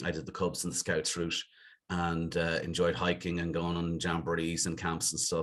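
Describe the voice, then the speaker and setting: At a fairly quick pace, a man speaks with a very deep, low pitch. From Dublin, Ireland (Clontarf, north side). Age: 50s. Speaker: business executive. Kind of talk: podcast interview.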